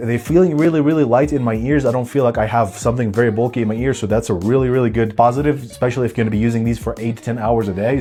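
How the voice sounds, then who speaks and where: Music plays in the background as a man of medium pitch talks at a very fast pace in an animated tone with ordinary pitch variation. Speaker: tech reviewer. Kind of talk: product review. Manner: casual, animated; loud.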